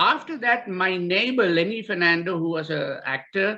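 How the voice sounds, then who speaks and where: A man's raised, projected voice, high-pitched, bright and sharp in tone, with ordinary pitch variation. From Sri Lanka. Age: 70s. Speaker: guitarist and former band member. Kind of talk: casual reminiscence. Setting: video call. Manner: halting, many fillers.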